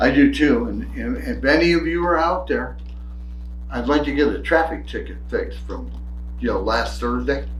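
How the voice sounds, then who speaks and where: With an American accent, a man speaks at a moderate pace, with audible room echo and noticeable background noise. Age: old. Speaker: podcast co-host. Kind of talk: casual political chat.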